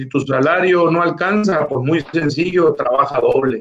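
Talking at a fairly slow pace, a man uses a high-pitched voice. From Mexico, Baja California Sur. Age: 60s. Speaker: politician, former federal official. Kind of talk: interview.

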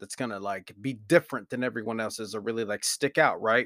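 Over a very clean recording with a silent background, a man mumbles in an American accent. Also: dry, close sound with no echo. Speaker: podcaster. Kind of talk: casual monologue. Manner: mumbling.

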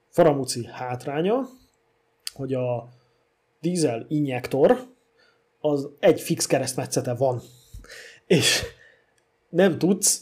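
A somewhat breathy man at a fairly high pitch with ordinary pitch variation, speaking at a very slow pace with long, frequent pauses. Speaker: podcast co-host about old cars. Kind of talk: casual chat.

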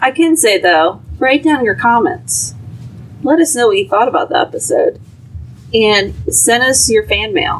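Speaking at a fairly slow pace, a woman keeps her loudness very even over noticeable background noise. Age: 30s. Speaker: podcast guest. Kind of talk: casual chat.

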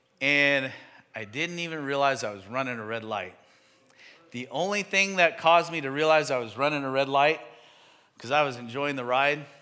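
An animated man with a fairly high pitch and ordinary pitch variation, at a moderate pace with long, frequent pauses, amid audible room echo. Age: 50s. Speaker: pastor. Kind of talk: sermon.

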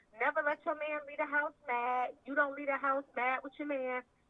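A woman's high voice with a Southern US accent, at a moderate pace, with fairly even intonation. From US South, South Carolina. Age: 20s. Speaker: lingerie business owner. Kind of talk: casual chat.

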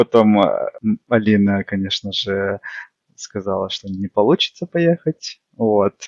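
Very slowly, a man speaks at a fairly low pitch with ordinary pitch variation. Long, frequent pauses break up his speech. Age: 20s. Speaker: amateur runner, tech support specialist. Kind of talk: casual interview chat.

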